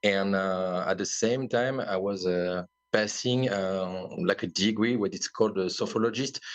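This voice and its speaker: A man with a French accent talks at a fairly slow pace. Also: fairly low pitch for a man, fairly even intonation. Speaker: wellness company founder. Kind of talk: podcast interview. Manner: halting.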